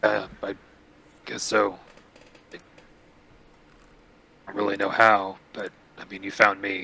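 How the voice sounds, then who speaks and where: A man puts on a raspy character voice, fairly low in pitch, with a monotone, flat intonation. He talks at a fairly slow pace with long, frequent pauses and big swings in loudness. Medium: actual play. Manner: halting, hesitant.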